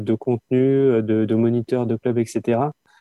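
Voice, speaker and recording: A man at a very slow pace. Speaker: skating club president. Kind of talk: casual interview. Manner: halting.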